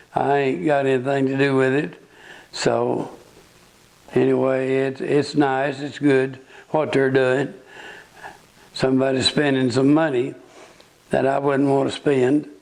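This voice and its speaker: With an Ozark accent, the speaker talks fairly slowly with long, frequent pauses and monotone, flat intonation over noticeable background noise. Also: man, medium pitch for a man. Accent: rural Ozark Southern US. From US South, northwest Arkansas. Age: 80s+. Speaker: local elder sharing memories. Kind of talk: oral history interview.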